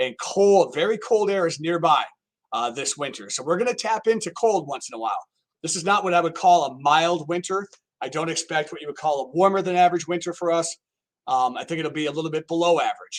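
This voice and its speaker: Loud and at a very fast pace, a man talks in a high voice with ordinary pitch variation. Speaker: meteorologist. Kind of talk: live-streamed weather forecast talk. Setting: weather office, live stream. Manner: casual, chatty.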